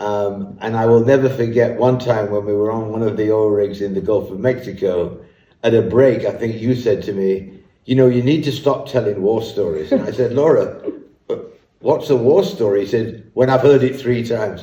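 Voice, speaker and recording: Amid audible room echo, a man at medium pitch talks at a moderate pace in a somewhat breathy voice with a dark, mellow tone. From northern England, Leeds. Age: 70s. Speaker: business leader. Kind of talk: interview.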